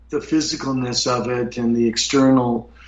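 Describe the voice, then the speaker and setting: A man speaks at a medium pitch. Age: 60s. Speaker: UFO experiencer, author. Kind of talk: interview testimony. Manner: halting, many fillers.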